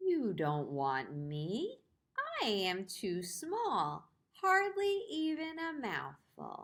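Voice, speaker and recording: A put-on character voice from a woman, medium-pitched and very slow. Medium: read story.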